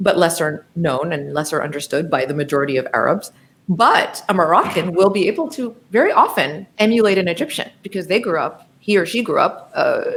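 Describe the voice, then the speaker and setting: In an American accent, a woman uses a normal speaking voice at medium pitch with lively intonation. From US, New Jersey. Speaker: professor of Arabic. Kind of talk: interview conversation.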